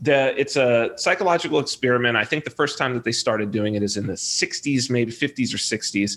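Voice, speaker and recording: Speaking with a Californian accent, a man moves at a fairly quick pace with hardly any pauses. His medium pitch varies in an ordinary way. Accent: Californian American. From Southern California. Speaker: software developer and reality TV personality. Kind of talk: casual interview conversation.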